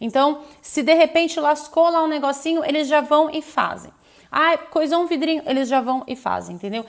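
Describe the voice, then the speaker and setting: A woman with a high pitch talks at a moderate pace, keeping her intonation fairly even. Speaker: architect and urban planner. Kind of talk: live stream explainer. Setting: live stream. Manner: casual, many fillers.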